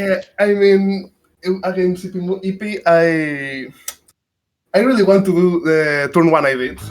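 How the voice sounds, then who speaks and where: A man with a Spanish accent speaks at a fairly slow pace. His voice sits high, with ordinary pitch variation. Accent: Spanish, noticeable. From Spain. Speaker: podcast guest, game player. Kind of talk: casual chat. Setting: voice chat. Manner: halting.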